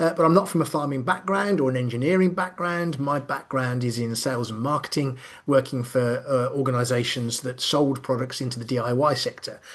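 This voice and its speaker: With a Midlands accent, a man speaks fairly quickly at a medium pitch with ordinary pitch variation and hardly any pauses. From Birmingham, English Midlands. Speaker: business consultant and coach. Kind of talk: online lecture. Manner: frequent fillers, conversational.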